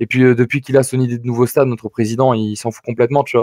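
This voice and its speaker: A man talks very fast in a medium-pitched, dark, mellow voice with monotone, flat intonation. The sound is dry and close with no echo. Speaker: football fan pundit guest. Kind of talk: casual football talk show chat. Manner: fast at times; hesitant, many fillers.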